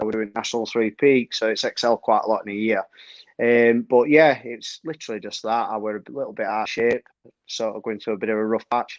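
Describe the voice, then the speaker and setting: Speaking in a Yorkshire accent at a fairly quick pace, a man comes through with a dry, close sound and no echo. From Yorkshire, northern England. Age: 30s. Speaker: trail runner. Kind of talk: casual chat.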